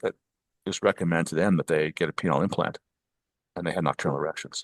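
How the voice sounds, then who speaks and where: Talking at a very fast pace, a man with an American accent sounds dry and close with no echo. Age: 70s. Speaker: physician and sex tech founder. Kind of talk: podcast interview. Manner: halting, many repetitions.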